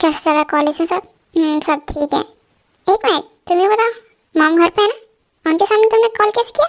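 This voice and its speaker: A woman puts on a character voice pitched extremely high. She moves at a fairly quick pace with lively intonation. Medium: audio drama. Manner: playful, flirtatious.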